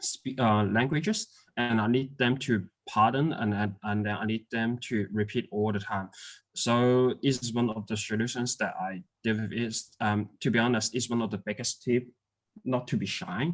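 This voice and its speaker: A man with a non-native accent, medium-pitched, at a moderate pace with ordinary pitch variation. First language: not English. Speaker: migrant hotel worker. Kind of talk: interview. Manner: halting, many fillers.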